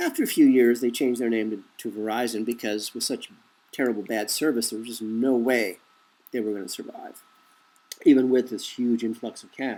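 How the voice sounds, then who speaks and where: A man at a medium pitch with an American accent, a dark, mellow tone, a fairly quick pace and monotone, flat intonation. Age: 50s. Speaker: conspiracy commentator. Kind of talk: monologue commentary.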